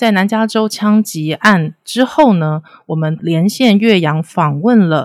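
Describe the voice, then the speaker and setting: Speaking at a very slow pace, a woman with a medium pitch uses lively intonation in a dry, close recording with no echo. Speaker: podcast host, editor. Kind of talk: interview.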